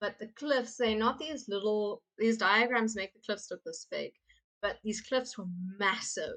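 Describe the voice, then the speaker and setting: Ordinary pitch variation and a moderate pace in a plain, everyday voice. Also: woman. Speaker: teacher. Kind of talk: lecture. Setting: live stream.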